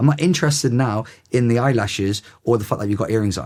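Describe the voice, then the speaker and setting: A man's medium-pitched voice, very fast and energetic in tone, with lively intonation. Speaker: headteacher. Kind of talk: podcast interview. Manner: loud.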